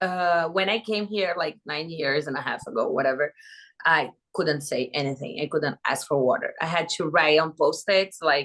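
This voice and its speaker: A woman with a Brazilian Portuguese accent. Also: quiet background. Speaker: reality TV contestant. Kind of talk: podcast interview. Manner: animated.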